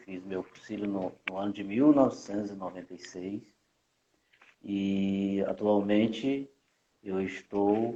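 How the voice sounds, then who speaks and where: The speech moves at a very slow pace. Its tone is dark and mellow. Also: man. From Rio de Janeiro, with years in Minas Gerais. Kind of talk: interview guest. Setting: Instagram live video call.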